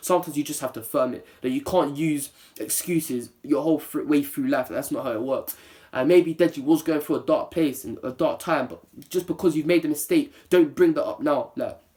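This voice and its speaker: The speaker talks at a fairly quick pace in a London accent. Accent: London multicultural English. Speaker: YouTuber. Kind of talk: opinion vlog. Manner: serious, less playful.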